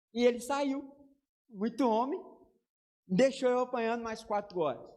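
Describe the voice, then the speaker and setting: This man's pitch is extremely high, and he talks at a fairly slow pace with ordinary pitch variation. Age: 30s. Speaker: pastor. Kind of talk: sermon.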